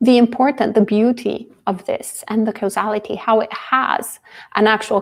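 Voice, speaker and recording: With a non-native accent, a woman talks at a fairly slow pace and with fairly even intonation. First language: not English. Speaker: Buddhist nun teaching. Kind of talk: dharma talk and Q&A.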